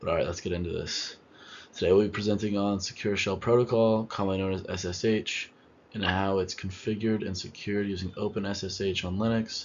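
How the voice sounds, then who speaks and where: Quiet and at a fairly quick pace, a man speaks at fairly low pitch with monotone, flat intonation. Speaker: student presenter. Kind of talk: class presentation.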